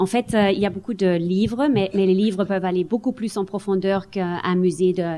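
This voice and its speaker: A woman's medium-pitched voice, dark and mellow in tone, at a moderate pace on a very clean recording with a silent background. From Germany. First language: German (speaking French). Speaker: museum director. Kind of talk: panel discussion. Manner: halting.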